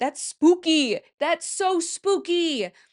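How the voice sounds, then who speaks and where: A woman speaks with a Midwestern US accent, an animated tone and lively intonation. The sound is dry and close with no echo, against a quiet background. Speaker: podcast host. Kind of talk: casual chat.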